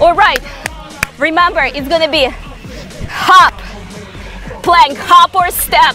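Over faint music in the background, a woman uses a raised, projected voice at a very slow pace with fairly even intonation, the sound dry with no echo. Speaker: fitness instructor. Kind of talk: workout coaching cues. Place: garden.

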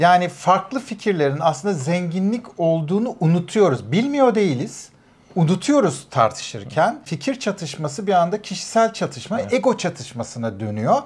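A man's high-pitched voice at a moderate pace, with very wide pitch swings and hardly any pauses. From Turkey. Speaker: immigrant professional; interview guest. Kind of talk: casual chat. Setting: at home. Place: studio. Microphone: lapel.

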